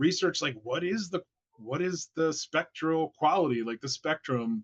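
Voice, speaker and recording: A fairly slow-paced man with a fairly high pitch and lively intonation, in a dry, close sound with no echo. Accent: American. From rural Pennsylvania. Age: 40s. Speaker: candle maker and light researcher. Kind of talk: interview. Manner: animated.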